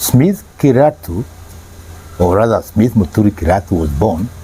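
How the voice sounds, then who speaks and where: Very wide pitch swings mark this moderately paced voice, heard over noticeable background noise. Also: man. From Kenya, Nairobi. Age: 70s. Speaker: parent sharing life experience. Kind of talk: interview. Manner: halting, repeats words.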